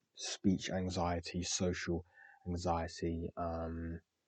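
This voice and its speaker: A man speaks at a very slow pace, his pitch very deep and low. His intonation is monotone and flat, and the background is quiet. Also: dry, close sound with no echo. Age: 20s. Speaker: podcaster. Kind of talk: casual monologue. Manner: halting, many fillers.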